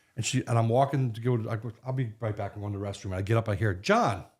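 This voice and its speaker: Somewhat breathy, a man with an American accent and medium pitch talks at a very fast pace with fairly even intonation. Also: very clean recording, silent background. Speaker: podcast co-host. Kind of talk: casual chat.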